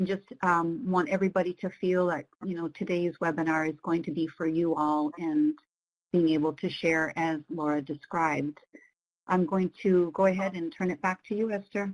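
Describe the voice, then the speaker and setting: Using a plain, everyday voice, a woman speaks at a moderate pace with a fairly low pitch and fairly even intonation. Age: 50s. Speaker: webinar co-facilitator. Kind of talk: webinar presentation. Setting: online webinar.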